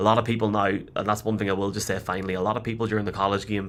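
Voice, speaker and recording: A man with a Northern Irish accent at a very fast pace, fairly low in pitch, with a bright, sharp tone and monotone, flat intonation. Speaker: podcast host. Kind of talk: casual chat.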